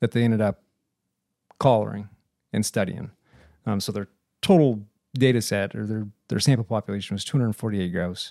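A man with an American accent speaks fairly quickly in a fairly low, dark, mellow voice with ordinary pitch variation, yet leaves long, frequent pauses. The sound is dry and close, with no echo. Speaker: podcast host. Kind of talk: casual conversation.

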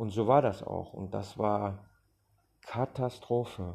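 Over a quiet background, a man speaks at a very slow pace in a somewhat breathy voice. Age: 40s. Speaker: podcaster, former addict. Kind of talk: testimony. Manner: hesitant, with fillers.

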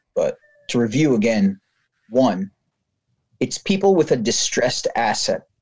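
A man speaks with an American accent. His pace is fairly slow. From New Jersey. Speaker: business operations and sales lead. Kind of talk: interview.

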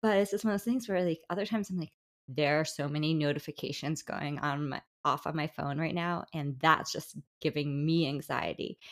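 A woman with an American accent talks at a moderate pace with ordinary pitch variation in a normal speaking voice. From New Jersey, Bergen County. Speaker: podcast host. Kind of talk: casual interview chat. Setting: remote recording.

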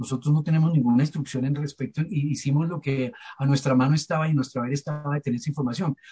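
A man with a Bogotá accent, fairly high pitched, somewhat breathy, with a dark, mellow tone, fairly even intonation and a very fast pace, in a dry, close sound with no echo. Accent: Bogotá Colombian Spanish. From Colombia, Bogotá. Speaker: archivist, head of archivists' society. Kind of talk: panel discussion.

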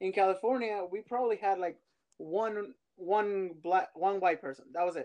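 With a Spanish accent, a man speaks at a moderate pace in a high pitch. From Mexico. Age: 30s. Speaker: immigrant sharing his story. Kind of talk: casual interview.

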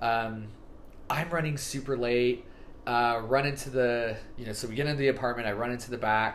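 A man with an American accent speaks at a fairly quick pace with fairly even intonation. Audible room echo is present. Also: medium pitch for a man. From California, Fresno. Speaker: podcast guest, former missionary. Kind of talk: casual chat.

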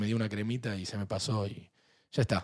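Male speech, very clean, against a silent background. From Argentina. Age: 40s. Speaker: podcast host. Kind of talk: casual chat. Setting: studio.

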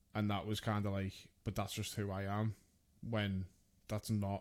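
A man with an English accent speaks in a fairly low, monotone, flat voice at very even loudness, with long, frequent pauses. The recording is very clean, with a silent background. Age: 30s. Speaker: podcast host. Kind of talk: casual chat.

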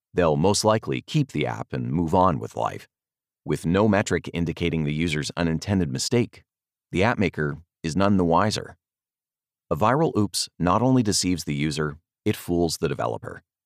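A man with a very deep, low pitch and vocal fry talks at a fairly quick pace with lively intonation, in a dry, close sound with no echo. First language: not English. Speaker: podcast host and author reading his own article. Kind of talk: reading aloud.

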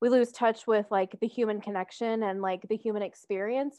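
A woman with an American accent talks at a fairly quick pace, her tone dark and mellow and her intonation fairly even. The sound is dry and close, with no echo. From US South, Metro Atlanta. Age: 20s. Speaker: podcast co-host, social work student. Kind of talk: casual chat.

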